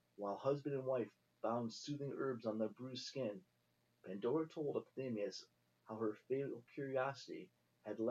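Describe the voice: Plain reading aloud, with pitch varying in an ordinary way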